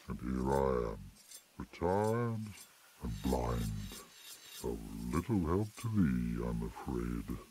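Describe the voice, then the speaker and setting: In a put-on character voice, a man speaks with a very deep, low pitch at a fairly slow pace, leaving long, frequent pauses. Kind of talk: archaic fantasy speech. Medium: video game. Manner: slow, solemn, archaic.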